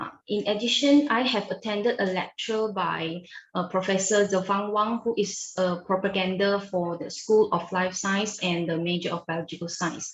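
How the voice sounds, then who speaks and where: Her pitch is medium and her intonation fairly even. The woman talks at a moderate pace with a Chinese accent. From Malaysia. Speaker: university student ambassador. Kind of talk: interview. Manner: formal, prepared-sounding answers.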